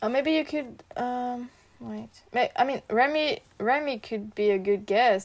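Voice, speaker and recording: A woman with a French accent speaks at a fairly slow pace in a high pitch. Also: ordinary pitch variation. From France (Marseille). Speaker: parkour athlete. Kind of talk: casual interview chat. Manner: halting.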